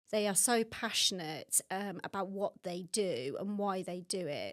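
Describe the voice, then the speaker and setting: Moderate pace and ordinary pitch variation, in a Birmingham accent. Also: woman. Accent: Birmingham (Brummie). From Birmingham, England. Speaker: water industry executive. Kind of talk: podcast interview.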